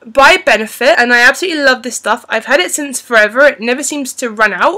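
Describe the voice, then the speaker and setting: Raising and projecting her voice, a woman speaks with a bright, sharp tone and lively intonation over a quiet background. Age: 30s. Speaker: beauty and fashion vlogger. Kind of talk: unscripted product review. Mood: friendly, chatty. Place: home room. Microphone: webcam.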